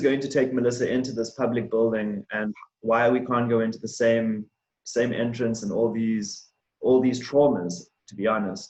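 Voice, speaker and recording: A man speaks with a South African accent and fairly even intonation. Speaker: diversity and inclusion manager. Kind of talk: presentation on race.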